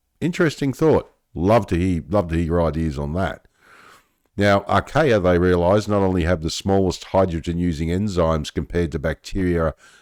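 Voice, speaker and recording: On a very clean recording with a silent background, a speaker with an Australian accent talks at a moderate pace with ordinary pitch variation. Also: man, very deep, low pitch for a man. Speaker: science news youtuber. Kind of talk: casual commentary reading article aloud. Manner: conversational, reflective asides.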